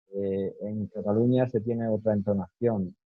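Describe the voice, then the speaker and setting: With fairly even intonation, the man talks at a medium pitch. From Spain, Málaga (Andalusia). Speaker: interviewee, native speaker. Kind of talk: interview. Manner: hesitant, many fillers.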